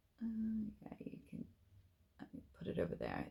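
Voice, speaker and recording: This woman speaks with an Irish accent. Her pace is moderate. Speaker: cross-stitch designer and vlogger. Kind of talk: casual chat.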